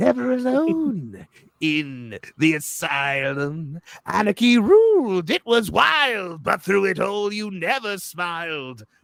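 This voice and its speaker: A put-on character voice from a man, fairly slow in pace and high in pitch. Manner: creepy.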